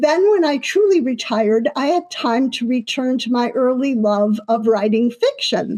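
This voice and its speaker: Speaking with an American accent, a woman has a high pitch and lively intonation. She goes at a moderate pace with hardly any pauses. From US Midwest, Chicago. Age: 70s. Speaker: author. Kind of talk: museum talk presentation.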